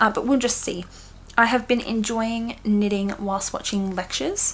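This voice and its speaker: With an Australian accent, a woman talks at a moderate pace in a fairly high, somewhat breathy voice with ordinary pitch variation. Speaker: knitting podcaster. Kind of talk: casual chat. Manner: animated.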